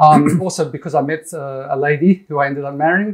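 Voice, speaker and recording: Fairly quick and fairly even in intonation, this man speaks with an Australian accent. His pitch is fairly high. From Perth, Western Australia. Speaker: pro-Israel website founder. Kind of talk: interview.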